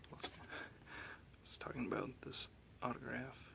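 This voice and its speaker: Someone whispers at a very slow pace against noticeable background noise. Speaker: Magic card collector. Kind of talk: ASMR card collection show and tell. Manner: soft-spoken.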